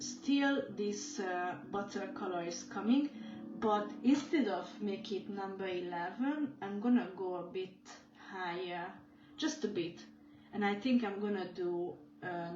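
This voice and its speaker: A woman's very slow speech with long, frequent pauses, lively intonation and audible room echo. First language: not English. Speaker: mandala dot painting teacher. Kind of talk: live painting tutorial. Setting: livestream video. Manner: halting.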